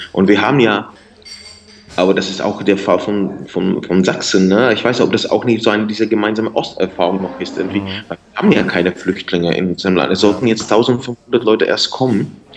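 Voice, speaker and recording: A man with a Czech accent talks at a fairly quick pace and fairly low pitch, his intonation fairly even, with noticeable background noise behind him. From Czech Republic, northeastern Bohemia. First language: Czech (speaking German). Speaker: singer and writer. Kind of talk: interview. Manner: halting, repeats words.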